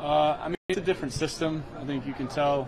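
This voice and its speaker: Over crowd noise in the background, a man speaks at a fairly quick pace. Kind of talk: interview answer. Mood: calm, measured, subdued. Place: home room. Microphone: handheld.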